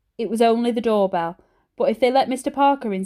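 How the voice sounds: The surroundings are quiet. Someone reads in a natural reading voice, pitch varying in an ordinary way.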